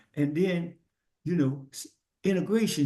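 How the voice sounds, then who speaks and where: Somewhat breathy, with a dark, mellow tone, a man speaks at a moderate pace with lively intonation. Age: 70s. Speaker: podcast guest. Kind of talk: casual chat. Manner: halting.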